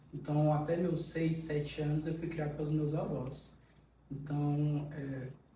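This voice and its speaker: Amid noticeable background noise and audible room echo, a man talks at a fairly slow pace with a fairly high pitch and monotone, flat intonation. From Pará, Brazil. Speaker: podcast guest. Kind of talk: casual interview.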